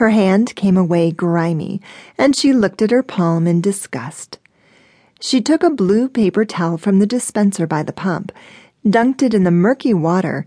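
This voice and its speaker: A woman in a normal speaking voice, medium in pitch, with lively intonation at a moderate pace, dry and close with no echo against a quiet background. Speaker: audiobook narrator. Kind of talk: dramatic audiobook narration, scripted romance fiction read aloud. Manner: expressive, vivid storytelling with shifts into character voices for quoted lines.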